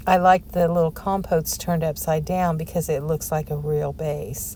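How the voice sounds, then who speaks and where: Background noise is noticeable. A woman speaks at a moderate pace. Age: 60s. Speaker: lifestyle vlogger. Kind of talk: casual vlog talk. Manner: animated.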